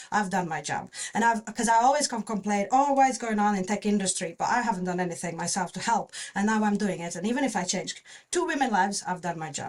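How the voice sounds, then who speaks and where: A woman speaks very fast in a confident tone with ordinary pitch variation. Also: medium pitch for a woman. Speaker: software engineer. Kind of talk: podcast interview. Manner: loud and confident; halting, many fillers.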